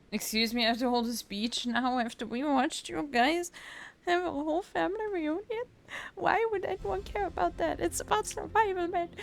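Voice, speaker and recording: A woman with a non-native accent speaks at a moderate pace in a high pitch with very wide pitch swings. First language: not English. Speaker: vtuber gaming streamer. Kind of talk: casual let's play commentary with reading dialogue aloud. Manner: animated.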